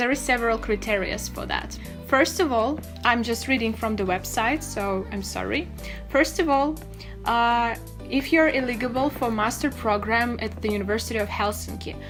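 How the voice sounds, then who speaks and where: A woman talks at a moderate pace, with clear music in the background. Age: 20s. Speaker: study-abroad vlogger; vlogger. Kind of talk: tutorial. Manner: hesitant with many fillers. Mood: friendly, explanatory. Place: home room.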